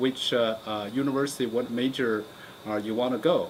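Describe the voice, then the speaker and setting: The speaker talks at a moderate pace with a Chinese accent. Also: man. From China. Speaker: geology professor. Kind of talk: interview monologue. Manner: halting, many fillers.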